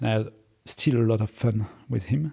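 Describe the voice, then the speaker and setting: A somewhat breathy man's voice with a dark, mellow tone and a French accent. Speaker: startup founder and CEO. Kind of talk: interview. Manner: hesitant, many filler words.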